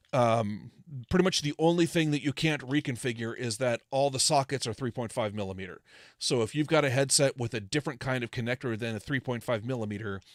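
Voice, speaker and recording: A man with an American accent talks at a very fast pace, the sound dry with no echo against a quiet background. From California. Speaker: ham radio electronics designer / livestreamer; ham radio electronics designer, livestreamer. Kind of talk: casual technical livestream tutorial. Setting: livestream with remote guest. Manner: loud. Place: home room. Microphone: studio mic.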